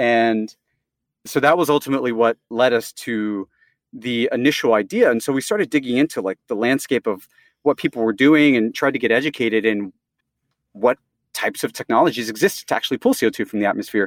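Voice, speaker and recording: Recorded very cleanly against a silent background, the sound is dry and close with no echo. A man with an American accent speaks in a plain, everyday voice at a medium pitch, a fairly quick pace and ordinary pitch variation. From US Southeast. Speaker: startup co-founder, chemical engineer. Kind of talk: interview.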